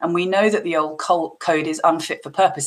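Against noticeable background noise, this woman's fairly low voice keeps fairly even intonation at a moderate speed. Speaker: investor. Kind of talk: panel discussion.

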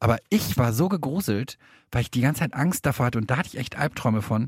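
A man's somewhat breathy, medium-pitched voice at a very fast pace, dry and close with no echo, on a very clean recording with a silent background. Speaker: true crime podcast co-host. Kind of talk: casual chat.

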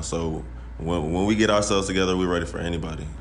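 A man speaks with a very deep, low pitch and ordinary pitch variation. Noticeable background noise and audible room echo are present. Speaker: college basketball player. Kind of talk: podcast interview.

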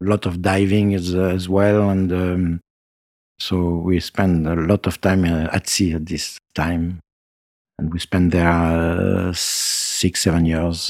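With a French accent, a man speaks at a very slow pace in a very deep, low voice. His intonation is monotone and flat, and the sound is dry and close with no echo. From France, Nice. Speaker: retired winemaker. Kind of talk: interview. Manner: halting.

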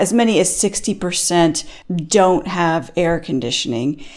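A woman speaks at a moderate pace in a plain, everyday voice. Her pitch sits in the medium range with ordinary variation. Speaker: senior editor, energy journalist.

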